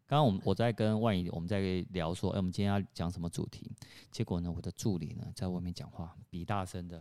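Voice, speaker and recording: A dark, mellow voice at a very fast pace, with fairly even intonation. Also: man. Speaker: podcast co-host. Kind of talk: casual chat. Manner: loud.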